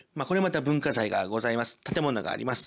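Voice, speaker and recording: On a very clean recording with a silent background, a man with an ordinary speaking voice talks at medium pitch with lively intonation. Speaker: local culture YouTuber. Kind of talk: informative presentation. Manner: formal, filler-heavy.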